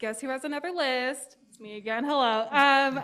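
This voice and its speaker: A woman's high-pitched voice. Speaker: youth ambassador. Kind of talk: reading a prepared list at a summit. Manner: fast.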